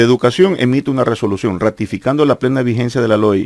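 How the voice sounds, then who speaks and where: Dry and close with no echo, a man's voice at medium pitch moves at a fairly quick pace. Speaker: teachers' union leader and former politician. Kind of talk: heated debate. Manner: insistent, halting with repetitions.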